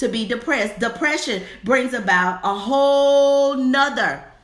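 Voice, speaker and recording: A woman's high, animated voice at a fairly slow pace, with noticeable background noise and audible room echo. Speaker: faith-based divorce coach and minister. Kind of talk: motivational livestream sermon. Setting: live stream. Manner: animated, preacherly.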